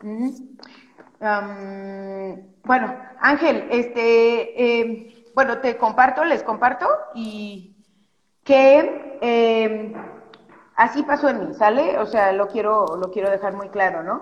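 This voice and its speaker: Very slow, fairly high-pitched speech from a woman, marked by long, frequent pauses and ordinary pitch variation. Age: 40s. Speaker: feminist activist. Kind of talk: casual chat.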